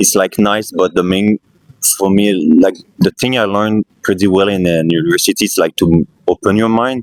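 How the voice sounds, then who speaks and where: In a Quebec accent, a man talks at a fairly low pitch and a moderate pace with ordinary pitch variation, the sound dry and close with no echo. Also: very even loudness. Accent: Québécois French accent in English. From Quebec, Canada. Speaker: street interviewee. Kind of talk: street interview. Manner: halting.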